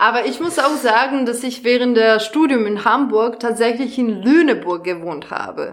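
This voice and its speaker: The speaker, in a Serbian accent, talks with hardly any pauses. Noticeable background noise runs underneath. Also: woman, high pitch for a woman, ordinary pitch variation, moderate pace. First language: Serbian (speaking German). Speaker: actress and theatre educator. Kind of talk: casual chat. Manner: halting.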